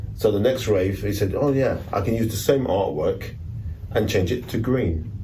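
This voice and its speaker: With a London accent, a man speaks at a moderate pace, his pitch fairly low with ordinary variation. Audible room echo surrounds his voice. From London, Notting Hill. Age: 60s. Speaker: rave flyer artist. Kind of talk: casual interview. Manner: halting. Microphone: poor sound quality.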